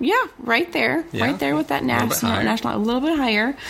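A woman talks over noticeable background noise. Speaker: podcast co-host.

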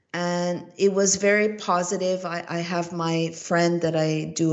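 A woman speaks very slowly. Room echo is audible around her voice. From Montreal, Canada. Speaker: investigative journalist and filmmaker. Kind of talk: casual chat.

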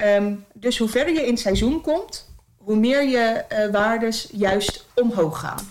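Fairly high in pitch, a woman talks in a plain, everyday voice whose pitch varies in an ordinary way. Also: fairly slow pace. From Zeeland, Netherlands. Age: 30s. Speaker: interview guest with type 1 diabetes. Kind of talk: casual interview. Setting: at home.

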